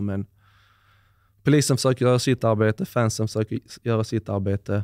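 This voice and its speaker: A man speaks at a moderate pace in a fairly low pitch, with a dry, echo-free sound and a quiet background. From Sweden, Skåne (Höllviken); Skåne. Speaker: former pro footballer; podcast guest. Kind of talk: interview. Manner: hesitant, many fillers. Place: home room. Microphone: studio mic.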